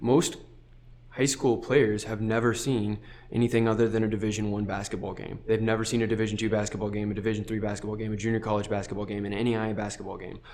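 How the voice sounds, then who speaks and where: Talking at a very fast pace, a man with a fairly low pitch keeps a monotone, flat intonation amid audible room echo. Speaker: junior college assistant basketball coach. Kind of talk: podcast interview. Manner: halting, many fillers and repeats.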